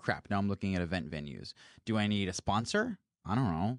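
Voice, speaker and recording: In a dry, close sound with no echo, a man with a fairly low pitch talks at a fairly quick pace with ordinary pitch variation. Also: quiet background. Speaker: podcast host. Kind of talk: angry rant about coworking. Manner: emphatic, impassioned, swearing.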